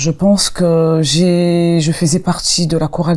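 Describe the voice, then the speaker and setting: A woman is speaking. Her pitch is fairly low. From Congo. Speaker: gospel singer. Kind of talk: interview. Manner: halting.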